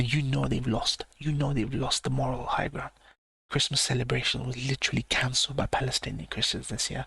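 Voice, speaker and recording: Whispering at a fairly quick pace, a man is heard in a dry, close sound with no echo. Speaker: live reaction streamer. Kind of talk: live stream reaction commentary. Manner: whispering, keeping voice down.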